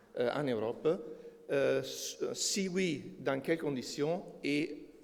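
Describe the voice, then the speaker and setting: This is a man speaking with a non-native accent. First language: not French (speaking French). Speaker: energy consultant. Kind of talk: conference presentation. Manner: halting, many hesitations.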